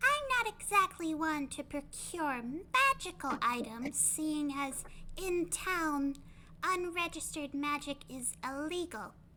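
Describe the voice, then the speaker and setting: At a fairly slow pace, a put-on character voice with a high pitch plays against clear background noise. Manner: shifty, cautious.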